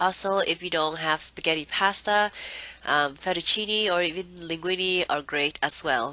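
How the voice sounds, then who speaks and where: A woman speaks with a fairly low pitch. Noticeable background noise runs under her voice. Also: ordinary pitch variation, fairly slow pace, very even loudness. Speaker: cooking show host. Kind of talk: cooking tutorial. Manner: casual, friendly.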